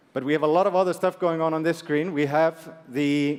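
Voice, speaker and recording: A man with a fairly high pitch speaks at a fairly quick pace with fairly even intonation. Background noise is noticeable. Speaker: fintech presenter. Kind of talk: product demo presentation.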